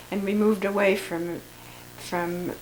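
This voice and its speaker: Noticeable background noise accompanies a woman with an American accent. She speaks at a moderate pace and medium pitch, her intonation flat and monotone. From US Midwest, Lincoln, Nebraska. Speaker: family elder recording memoirs. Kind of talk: oral history reminiscence. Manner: halting, many repetitions.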